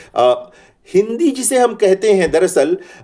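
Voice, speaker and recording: A man with a Bihari accent speaks at a high pitch. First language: Bhojpuri (speaking Hindi). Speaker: Hindi professor. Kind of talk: lecture. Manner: hesitant fillers, measured.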